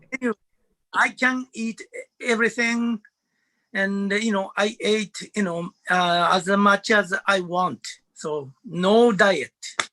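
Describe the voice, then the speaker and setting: In a raised, projected voice with a bright, sharp tone, a man speaks at a very slow pace with a high pitch. The sound is dry and close with no echo, and pitch variation is ordinary. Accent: Japanese. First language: Japanese. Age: 70s. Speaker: former sprinter and marathon runner. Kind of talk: webinar panel talk. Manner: halting, many fillers.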